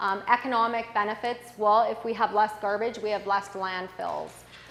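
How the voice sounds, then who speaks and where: Noticeable background noise and audible room echo surround a woman. She talks at a fairly quick pace in a fairly high voice. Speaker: conference presenter. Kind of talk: conference presentation.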